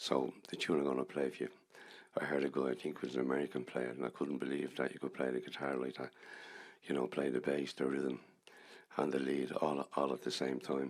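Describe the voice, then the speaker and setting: Speaking fairly quickly with a Dublin accent, a man uses a very deep, low pitch with vocal fry and monotone, flat intonation. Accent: Dublin Irish. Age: 70s. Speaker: musician. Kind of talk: stage storytelling between songs. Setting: stage with audience.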